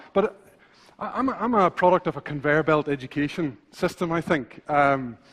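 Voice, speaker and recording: In a Northern Irish accent, a man speaks at a fairly high pitch with ordinary pitch variation. His pace is fairly quick, and the background is quiet. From Northern Ireland. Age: 40s. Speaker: visual thinker and illustrator. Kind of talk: conference talk. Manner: fast when passionate; halting, many fillers and repetitions.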